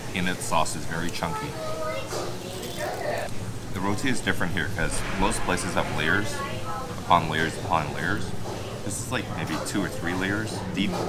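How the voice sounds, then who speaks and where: Loud background noise fills the recording. The speech runs at a moderate pace, with long, frequent pauses. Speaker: food vlogger. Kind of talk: casual food review chat. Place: cafe. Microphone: phone near.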